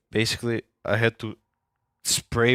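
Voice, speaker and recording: Speaking fairly slowly with a non-native accent, a man with a medium-pitched voice is heard in a dry, close sound with no echo over a silent background in a very clean recording. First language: not English. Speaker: video game streamer. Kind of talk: casual live stream chat.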